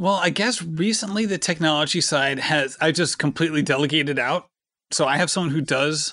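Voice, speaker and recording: A man with an unremarkable speaking voice talks at a fairly quick pace and a fairly high pitch, his loudness very even and his pitch variation ordinary. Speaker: podcast host. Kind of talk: casual chat.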